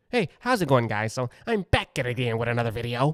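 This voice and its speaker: This man is doing a put-on character voice. He talks at a very fast pace. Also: medium pitch for a man, dry, close sound with no echo. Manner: upbeat, chatty.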